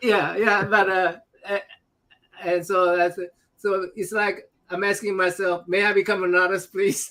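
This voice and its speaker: A high-pitched man uses a raised, projected voice with monotone, flat intonation, speaking at a fairly slow pace with long, frequent pauses. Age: 60s. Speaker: talk show host. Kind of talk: casual chat. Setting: livestream.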